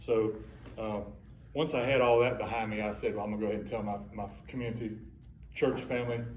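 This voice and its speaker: Audible room echo surrounds a man talking at a fairly quick pace, his fairly low pitch moving with ordinary variation. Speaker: Parkinson's patient sharing experience. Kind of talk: testimony. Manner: halting.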